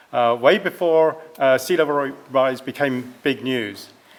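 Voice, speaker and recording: Speaking with a European accent, a man has a fairly high pitch. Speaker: environmental scientist. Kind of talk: presentation.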